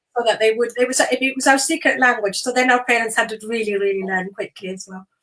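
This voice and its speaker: A woman's bright, sharp, fairly high voice at a very fast pace with ordinary pitch variation. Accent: Scottish. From Chile, raised in Scotland (Fife, Edinburgh). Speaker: charity founder. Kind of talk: interview.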